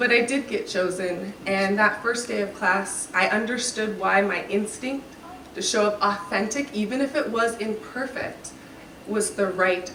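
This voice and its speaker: A woman talks at a fairly slow pace in a fairly high pitch. Noticeable background noise and audible room echo surround her voice. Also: ordinary pitch variation. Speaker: graduation speaker. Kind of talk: speech.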